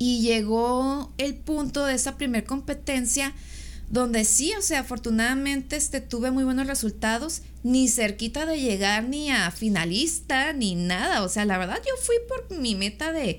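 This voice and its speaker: Speaking fairly slowly, a woman uses a high-pitched voice. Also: lively intonation, very even loudness. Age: 30s. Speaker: bodybuilding competitor and architect. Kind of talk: casual interview chat.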